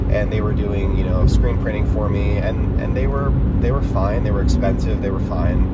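Loud background noise surrounds a man's voice, heard as a dry sound with no echo. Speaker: vlogger. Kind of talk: casual vlog chat. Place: car.

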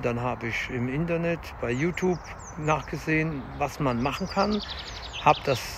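A man talks at a moderate pace, with noticeable background noise and a dry sound with no echo. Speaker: fitness vlogger. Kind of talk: casual vlog chat. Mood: calm, encouraging. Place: forest. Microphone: phone near.

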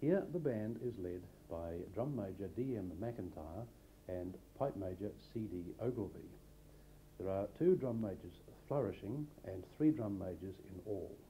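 With a dark, mellow, somewhat breathy tone, a fairly low-pitched man talks at a fairly slow pace with ordinary pitch variation and long, frequent pauses. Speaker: narrator reading school history. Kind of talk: scripted narration of school history. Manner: formal, even-paced.

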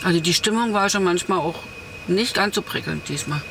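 A woman is speaking with ordinary pitch variation. Light background noise can be heard. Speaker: van travel vlogger. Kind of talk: casual vlog chat. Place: car. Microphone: camera far.

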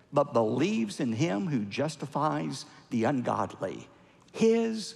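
A man with an American accent, very slow, with vocal fry and very wide pitch swings. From United States. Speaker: Baptist pastor and televangelist. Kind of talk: sermon. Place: church. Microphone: headset.

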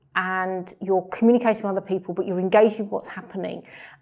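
A woman speaks with ordinary variation in pitch. Behind her the background is quiet. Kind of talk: interview answer. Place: office.

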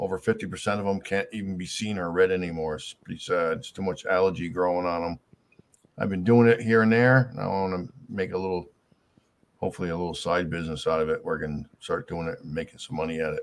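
This man has a very deep, low pitch. He talks at a fairly quick pace. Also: ordinary pitch variation. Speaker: YouTube streamer. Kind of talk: casual live stream chat. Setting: live stream. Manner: casual, chatty. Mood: reflective, farewell. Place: home room. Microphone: webcam.

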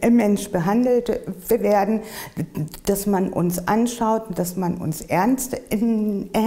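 A woman talks very slowly, her intonation fairly even. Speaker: person who stutters, interviewee. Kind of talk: interview answer. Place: home room.

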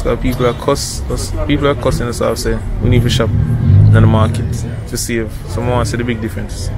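A man's very fast speech with ordinary pitch variation, dry and echo-free, over clear music in the background. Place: street. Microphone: phone near.

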